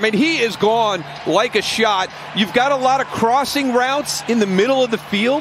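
Noticeable background noise fills the clip. Over it, a man speaks at a moderate speed. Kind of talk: color commentary, analytical breakdown of plays. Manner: measured, explanatory, conversational.

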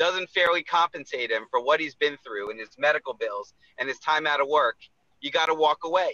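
A man at a moderate pace, dry sound with no echo, quiet background. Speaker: personal injury attorney. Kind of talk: casual radio chat, promotional segment. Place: car. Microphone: video call.

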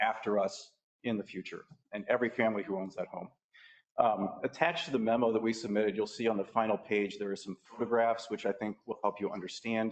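The man's pitch sits in the medium range. He moves along at a fairly brisk speed. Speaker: resident speaking at public comment. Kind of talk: public comment at council meeting. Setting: council chamber. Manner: fast.

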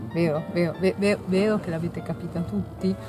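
Clear music plays behind a fairly quick voice with lively intonation, and the sound is dry with no echo. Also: woman. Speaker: truck driver. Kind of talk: casual talk to camera.

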